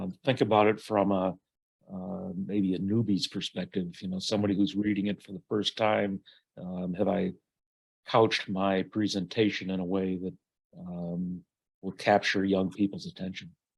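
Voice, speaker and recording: At a moderate pace, a man with an American accent speaks in a monotone, flat intonation. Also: fairly low pitch for a man, quiet background. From northeastern US. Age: 70s. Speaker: aspiring author. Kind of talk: casual discussion in a writers' critique. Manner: halting, many fillers.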